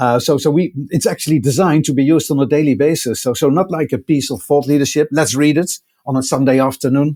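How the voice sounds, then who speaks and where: A man's very fast, fairly high-pitched voice, dark and mellow in tone, with fairly even intonation and very even loudness. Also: hardly any pauses. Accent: Dutch. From Netherlands. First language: Dutch. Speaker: technology executive. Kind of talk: podcast interview. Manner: halting, many fillers and repeats.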